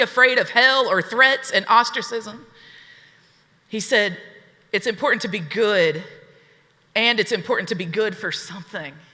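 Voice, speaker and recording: Energetic in tone, a woman speaks with an Appalachian accent at a fairly high pitch. Her pace is moderate and her pitch variation ordinary. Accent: Southern US (Appalachian). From Southeast Tennessee, USA. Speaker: activist. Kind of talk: keynote speech to a live audience. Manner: energetic, rousing, conversational.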